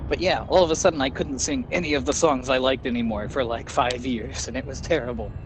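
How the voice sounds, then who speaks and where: A man with a medium pitch talks at a very fast pace, with lively intonation and hardly any pauses, against noticeable background noise. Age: 30s. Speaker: video game streamer. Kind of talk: casual chat.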